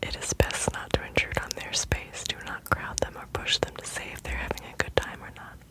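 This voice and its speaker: Whispering at a moderate pace, a woman speaks in a gentle tone over noticeable background noise. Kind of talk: whispered ASMR reading. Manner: whispered, gentle, soft-spoken.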